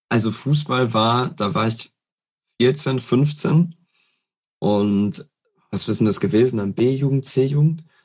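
This man talks at a very slow pace, with long, frequent pauses. His voice is somewhat breathy. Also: medium pitch for a man, ordinary pitch variation. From Ruhr area, Germany (Herne). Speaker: football fan guest. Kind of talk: casual chat.

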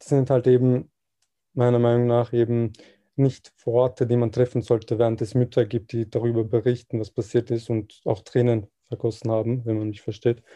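A man talks at a moderate pace in a dark, mellow tone. His intonation is monotone and flat. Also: medium pitch for a man. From Austria, Vienna. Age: 20s. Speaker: volunteer. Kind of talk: interview.

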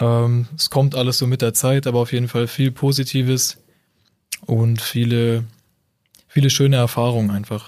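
A man's flat, monotone voice at a moderate pace, with long, frequent pauses and very even loudness. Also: medium pitch for a man. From northern Germany, near Bremen. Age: 20s. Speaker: university student, convert to Islam. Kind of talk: casual interview conversation.

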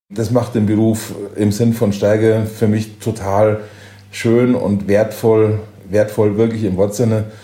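The voice has a dark, mellow tone and a monotone, flat intonation, with audible room echo. Delivery is very slow, with long, frequent pauses. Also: man. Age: 50s. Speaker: chef and hotel owner. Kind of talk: interview.

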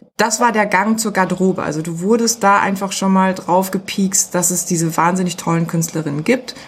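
A woman talks at a fairly quick pace with hardly any pauses, her voice somewhat breathy. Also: medium pitch for a woman, fairly even intonation. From Germany. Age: 40s. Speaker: music PR agency owner. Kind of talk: interview.

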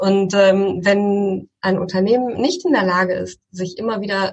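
The voice is somewhat breathy and belongs to a woman. Her pitch sits fairly high. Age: 40s. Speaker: tech company founder. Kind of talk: interview.

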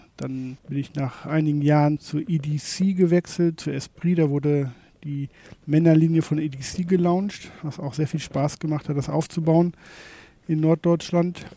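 A dark, mellow tone comes through at a fairly slow pace with fairly even intonation, on a very clean recording with a silent background. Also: man, fairly high pitch for a man. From Germany, North Rhine-Westphalia. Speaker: shopfitting company manager. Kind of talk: interview.

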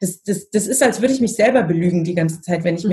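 A woman's somewhat breathy, medium-pitched voice with ordinary pitch variation. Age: 30s. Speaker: family constellation facilitator. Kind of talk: interview.

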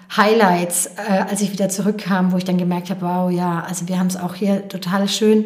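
Against noticeable background noise and audible room echo, a woman speaks at a moderate pace in a medium pitch with monotone, flat intonation. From Rhön, Lower Franconia, Bavaria. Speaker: former volunteer in South Africa. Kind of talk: interview.

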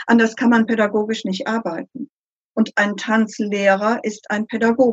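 Somewhat breathy and monotone, a woman speaks at a fairly high pitch and moderate pace, her flat intonation captured with a dry, close sound with no echo. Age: 60s. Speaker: consultant. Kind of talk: interview.

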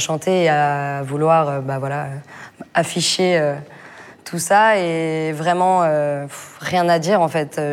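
The room echo is audible around this woman. She has a fairly low pitch and monotone, flat intonation. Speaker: rapper and singer. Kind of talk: casual interview. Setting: backstage dressing room.

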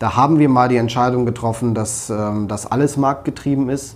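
A man speaks in a normal speaking voice at a fairly quick pace, his medium pitch carried on fairly even intonation. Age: 40s. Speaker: politician. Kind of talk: interview.

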